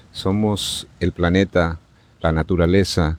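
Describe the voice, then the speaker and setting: A man's very deep, low voice in monotone, flat intonation, dry and close with no echo, in a very clean recording with a silent background. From Bolivia, La Paz. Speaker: natural healer. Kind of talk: interview. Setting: outdoors in a park.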